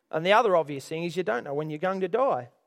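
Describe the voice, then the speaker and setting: A man speaks with an Australian accent. His pitch variation is ordinary. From Australia, Orange area, New South Wales. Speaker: pastor. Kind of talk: sermon.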